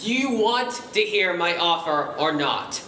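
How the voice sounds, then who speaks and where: In a put-on character voice at middle pitch, the speaker goes at a fairly slow pace with a slight echo. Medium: stage play. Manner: gruff, impatient.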